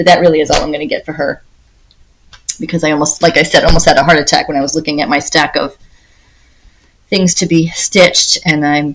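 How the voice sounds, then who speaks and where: Soft-spoken, a woman talks at a very fast pace. Her voice is very deep and low, with fairly even intonation. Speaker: cross-stitch video creator. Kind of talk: casual hobby update talk. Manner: soft-spoken, trying to be quiet; chatty, hesitant with fillers.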